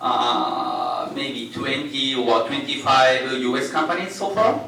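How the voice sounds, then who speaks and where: In a Japanese accent, a man speaks at a very slow pace, with audible room echo and noticeable background noise. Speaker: corporate investment manager. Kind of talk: panel discussion. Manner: halting, many fillers.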